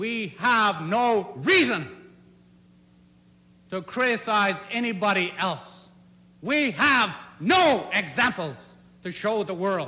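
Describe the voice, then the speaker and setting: A man with a high voice projects loudly at a very slow pace, his lively intonation broken by long, frequent pauses. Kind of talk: political speech. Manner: fiery, emotional, aggressive; firm, clear.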